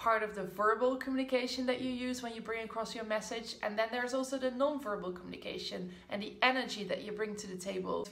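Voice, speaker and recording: Hardly pausing, a woman with a non-native accent talks at a fairly quick pace in a fairly high pitch. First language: not English. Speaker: business coach. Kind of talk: casual talk to camera. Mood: encouraging, upbeat. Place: home room. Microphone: phone near.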